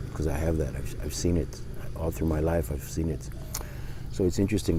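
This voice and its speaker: Noticeable background noise and audible room echo surround the recording. Over it, a man speaks with a very deep, low pitch. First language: not English. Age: 60s. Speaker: life coach. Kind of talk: casual vlog monologue. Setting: outdoors. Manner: halting.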